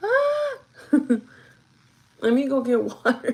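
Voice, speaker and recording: A woman is heard speaking with noticeable background noise behind her. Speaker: livestreamer doing makeup. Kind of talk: casual chat.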